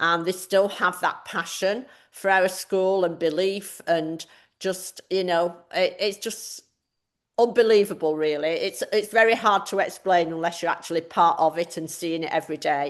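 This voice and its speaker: A woman talks with an English accent at a moderate pace. Her intonation stays fairly even. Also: medium pitch for a woman, quiet background. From northern England, Manchester. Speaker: math department chair. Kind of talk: online information session presentation.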